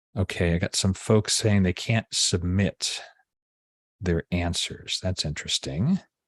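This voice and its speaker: A man talks at a very deep, low pitch, his sound dry and close with no echo. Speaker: photo editing instructor. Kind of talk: live webinar tutorial. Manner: halting with fillers.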